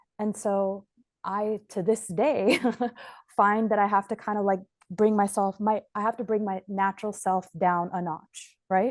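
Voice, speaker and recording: A woman talks at a fairly slow pace in a plain, everyday voice, with medium pitch and fairly even intonation. The background is quiet. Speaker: immigration lawyer, interviewer. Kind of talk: interview.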